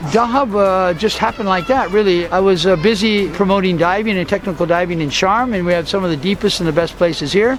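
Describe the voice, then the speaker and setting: Music plays behind a man speaking very fast with an American accent. His pitch is high and varies in an ordinary way. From US and Guatemala. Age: 60s. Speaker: diving promoter and spiritual speaker. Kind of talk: interview.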